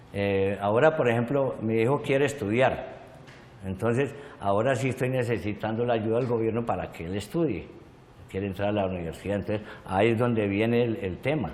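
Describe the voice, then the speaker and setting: The speaker talks at a fairly quick pace with ordinary pitch variation. Audible room echo surrounds the voice. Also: man, medium pitch for a man. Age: 60s. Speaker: victim of violence, witness. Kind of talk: testimony. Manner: halting.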